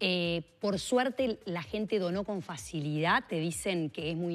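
With faint music in the background, a woman talks at a fairly slow pace in a fairly low voice with lively intonation. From Uruguay. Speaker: politician, mayoral candidate; politician, candidate. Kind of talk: radio interview. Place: studio. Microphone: lapel.

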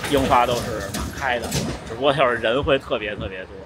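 Loud background noise surrounds the recording. A man talks over it at a fairly quick pace. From northern China. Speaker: running vlogger; runner vlogger. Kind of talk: casual vlog talk. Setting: outdoors. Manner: walking while talking. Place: street. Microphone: phone near.

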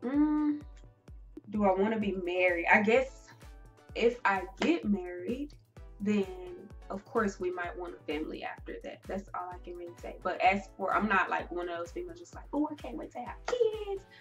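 A woman at a moderate pace, with big swings in loudness and faint music in the background. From United States. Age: young. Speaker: beauty vlogger. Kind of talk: casual talk to camera. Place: home room. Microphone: camera far.

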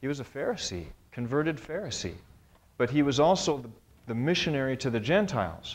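The voice has vocal fry and very wide pitch swings, moving at a fairly quick pace between long, frequent pauses. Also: man. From North America. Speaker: professor; lecturer on the Bible. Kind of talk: lecture. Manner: halting, with many fillers. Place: classroom.

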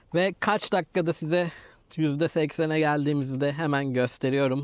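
Against a quiet background, a man speaks at a fairly slow pace. His voice is fairly high, with fairly even intonation. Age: 30s. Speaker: YouTuber, car vlogger. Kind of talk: vlog tutorial. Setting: outdoors.

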